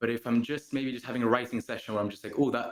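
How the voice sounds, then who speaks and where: A man talks at a very fast pace in a Gibraltarian accent. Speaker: singer-songwriter. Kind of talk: interview. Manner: casual, relaxed.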